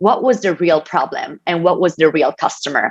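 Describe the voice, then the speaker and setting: With an Italian accent, the speaker talks at a moderate pace. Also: woman. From Italy. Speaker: tech company innovation advisor. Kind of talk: keynote speech. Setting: online event with presentation slides.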